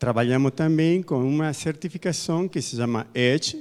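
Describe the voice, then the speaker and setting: The delivery moves fairly slowly. A non-native accent is present. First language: not Portuguese (speaking Portuguese). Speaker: audience member asking a question. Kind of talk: audience question.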